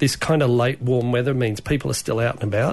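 The man has an unremarkable speaking voice, pitched in the medium range with ordinary pitch variation. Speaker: veterinarian. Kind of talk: casual chat.

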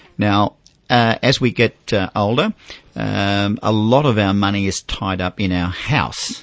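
In an Australian accent, a man with a fairly low pitch speaks at a fairly slow pace, his loudness rising and falling sharply over ordinary pitch variation. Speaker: finance radio host. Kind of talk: radio talkback.

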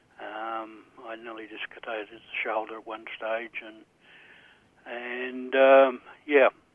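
In an Australian accent, a man at medium pitch speaks very slowly with monotone, flat intonation, long, frequent pauses, and big swings in loudness. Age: 60s. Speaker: caller, retired builder. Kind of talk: radio call-in. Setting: phone call. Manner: halting.

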